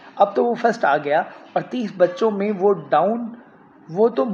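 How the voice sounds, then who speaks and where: Noticeable background noise is present throughout. A man talks with lively intonation. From Pakistan. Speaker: radio broadcaster. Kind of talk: literary reading.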